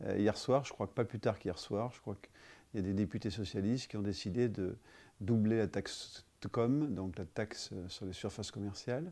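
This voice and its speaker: A man's fairly low-pitched voice has a dark, mellow tone and big swings in loudness. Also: ordinary pitch variation, moderate pace. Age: 50s. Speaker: business owner. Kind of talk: testimony; interview answer. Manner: halting. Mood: calm, concerned. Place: office.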